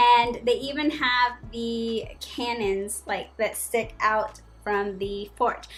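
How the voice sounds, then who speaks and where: A woman speaks at a fairly high pitch in an animated, enthusiastic tone. Music plays in the background. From Colombia (Barranquilla). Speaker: YouTuber, travel vlogger. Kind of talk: casual vlog talk to camera.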